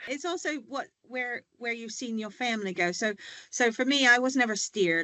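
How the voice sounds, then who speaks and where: A woman with a slight American accent speaks with very wide pitch swings. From United States. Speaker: healthtech leader, former pharmacy worker. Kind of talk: panel discussion.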